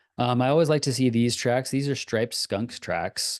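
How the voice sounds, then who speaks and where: A man is heard against a quiet background, with a dry, close sound and no echo. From Northern California, Santa Rosa. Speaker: naturalist and wildlife tracking lecturer. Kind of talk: lecture. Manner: hesitant, many fillers.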